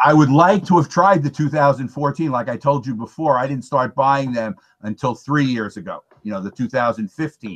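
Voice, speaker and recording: A plain, everyday voice at a fairly quick pace, with hardly any pauses, ordinary pitch variation and a dry, close sound with no echo. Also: man, fairly high pitch for a man. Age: 60s. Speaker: beer reviewer. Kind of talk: casual chat.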